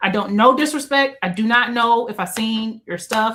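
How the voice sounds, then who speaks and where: Moderate pace and ordinary pitch variation. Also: woman. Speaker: podcast guest, book content creator. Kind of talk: casual chat. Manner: soft-spoken.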